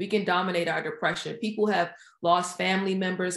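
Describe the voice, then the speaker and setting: A woman with a plain, everyday voice talks at a moderate pace and medium pitch, her intonation fairly even, on a very clean recording with a silent background. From Washington DC area. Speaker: project manager and author. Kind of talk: casual interview.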